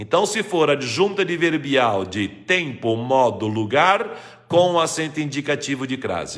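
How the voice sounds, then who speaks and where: Lively intonation runs through the speech. Vocal fry is audible in the voice. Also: man. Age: 60s. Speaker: retired Portuguese grammar teacher. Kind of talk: live stream Q&A lesson. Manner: didactic.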